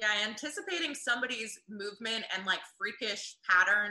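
This woman has a plain, everyday voice, fairly high in pitch. She speaks at a moderate pace. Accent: American. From US South. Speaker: game show tagger. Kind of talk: casual chat.

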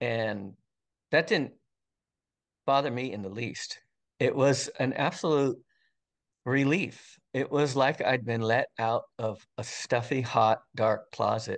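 A man speaks at a very slow pace and medium pitch, with ordinary pitch variation. Long, frequent pauses break up his speech over a quiet background. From central coast of California. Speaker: retired fire captain and forester. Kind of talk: interview, personal testimony. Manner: casual, many fillers and restarts.

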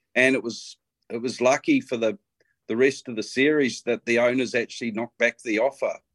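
With a New Zealand accent, a man talks at a fairly quick pace and medium pitch in a monotone, flat way, the sound dry and close with no echo. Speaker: bloodstock agent. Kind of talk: casual chat.

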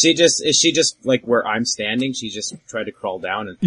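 The speaker has a natural reading voice. The intonation is lively.

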